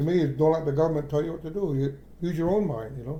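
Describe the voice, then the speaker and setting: With an American accent, a man speaks at a fairly high pitch with ordinary pitch variation and a dark, mellow tone. Audible room echo surrounds his voice. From Akwesasne Mohawk reserve, New York/Canada border. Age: old. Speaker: traditional maple sugar producer. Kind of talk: oral history interview. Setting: kitchen table at home. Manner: halting, frequent repetitions and fillers.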